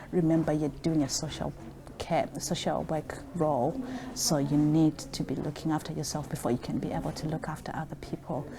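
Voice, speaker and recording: A woman's very deep, low voice with a non-native accent, fairly quick pace, ordinary pitch variation, and noticeable background noise. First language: not English. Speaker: social worker. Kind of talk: interview.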